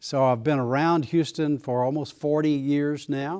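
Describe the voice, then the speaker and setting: On a very clean recording with a silent background, a man speaks at a moderate pace with a fairly high pitch and fairly even intonation. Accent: East Texas. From East Texas. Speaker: retired pastor. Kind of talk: casual conversation.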